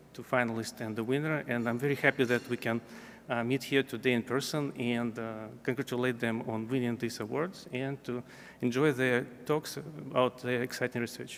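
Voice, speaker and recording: A man keeps to a medium pitch and fairly even intonation, talking at a moderate tempo. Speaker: journal editor presenting a prize. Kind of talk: ceremony speech. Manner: halting, many fillers and restarts.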